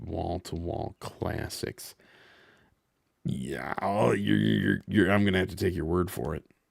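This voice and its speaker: A man's very deep, low voice with vocal fry and very wide pitch swings, on a very clean recording with a silent background. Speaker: streamer. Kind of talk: live gaming stream chat. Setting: live stream. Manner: halting, repeats words.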